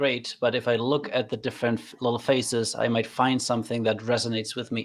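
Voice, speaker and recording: This man has a German accent, a medium pitch and a monotone, flat intonation. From Germany. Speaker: trainer. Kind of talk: casual chat.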